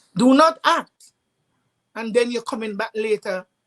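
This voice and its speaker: In a dry, close sound with no echo, a woman speaks with ordinary pitch variation. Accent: Trinidadian. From Trinidad and Tobago. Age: 60s. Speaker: parent sharing advice. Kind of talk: online summit panel talk.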